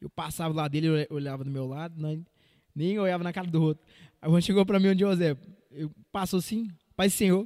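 This man has a high pitch and a dark, mellow tone, moving at a fairly quick pace with ordinary pitch variation and long, frequent pauses. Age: 20s. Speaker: church worship leader. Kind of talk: casual chat.

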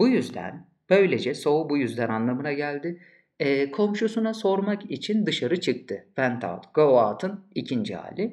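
This man talks at a very slow pace, his pitch swinging very widely. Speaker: English teacher. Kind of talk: lecture. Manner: clear, didactic.

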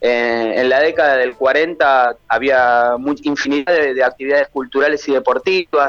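Speaking with a Rioplatense accent, a man keeps a moderate pace with hardly any pauses, a fairly high pitch, fairly even intonation and very even loudness. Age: 40s. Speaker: author. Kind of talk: interview. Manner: halting.

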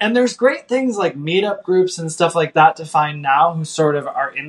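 With an American accent, a man talks at a moderate pace using very wide pitch swings. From US Midwest. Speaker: vegan chef and cookbook author. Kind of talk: podcast interview.

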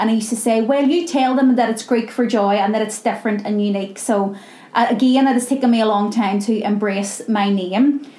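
Speaking at a fairly quick pace, a woman uses a fairly high pitch with ordinary pitch variation and very even loudness, with noticeable background noise present. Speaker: charity founder and CEO. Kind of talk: casual interview. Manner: loud, animated, uses hands when talking.

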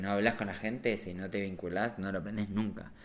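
A man talks in a fairly low pitch with monotone, flat intonation. Audible room echo surrounds his voice. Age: 30s. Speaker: visual artist and motion designer. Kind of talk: casual chat.

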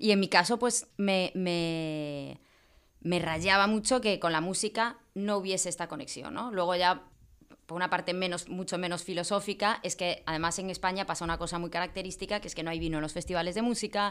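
A woman talks at a fairly quick pace at a medium pitch. It is an ordinary speaking voice. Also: ordinary pitch variation. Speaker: wine marketer and event promoter. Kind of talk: casual chat.

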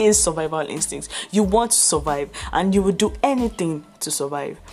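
A woman talks at a moderate pace with lively intonation. There is noticeable background noise. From Nigeria. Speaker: podcast host. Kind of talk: solo commentary monologue. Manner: passionate.

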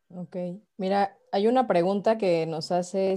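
A woman speaks at a fairly slow pace in a Mexican accent, her tone dark and mellow. The recording is very clean, with a silent background. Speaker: live stream host. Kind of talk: casual chat.

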